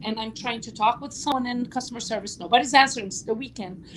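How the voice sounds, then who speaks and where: With a non-native accent, a woman speaks at a high pitch. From Lebanon. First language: Portuguese. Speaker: YouTube talk show host. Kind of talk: casual chat livestream. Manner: long-winded.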